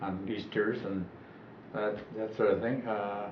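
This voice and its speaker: Audible room echo follows speech delivered at a moderate pace. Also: man. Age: 80s+. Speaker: elderly interviewee recalling his life. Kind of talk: oral history interview. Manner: halting.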